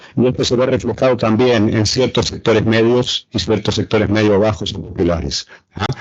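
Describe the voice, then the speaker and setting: A man with a fairly low pitch talks fairly quickly, his intonation fairly even. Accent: Argentine. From Argentina. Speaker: political science professor. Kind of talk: panel talk. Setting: round table with audience. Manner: halting, many fillers.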